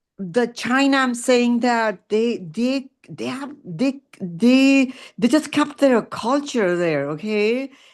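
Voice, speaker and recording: A woman's high-pitched voice at a very slow pace, with hardly any pauses, against a quiet background. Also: lively intonation. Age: 70s. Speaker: book club member. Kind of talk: group discussion on video call. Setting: video call. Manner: halting.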